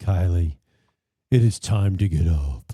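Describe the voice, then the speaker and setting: A man puts on a character voice, speaking at a fairly slow pace with a very deep, low pitch. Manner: solemn, commanding wake-up call.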